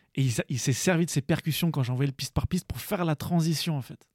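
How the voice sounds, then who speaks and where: Somewhat breathy and fairly quick, a man speaks with ordinary pitch variation on a very clean recording with a silent background and a dry, close sound with no echo. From Paris region, Seine-Saint-Denis. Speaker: beatmaker, music producer. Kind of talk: casual interview chat.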